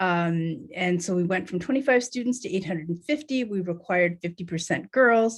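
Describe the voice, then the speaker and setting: Speaking with a Canadian accent, a woman moves at a fairly quick pace with hardly any pauses, a medium pitch and lively intonation. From Canada, Northern Ontario. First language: Tibetan. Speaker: nonprofit co-founder, panel speaker. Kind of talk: panel presentation. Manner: halting, many fillers.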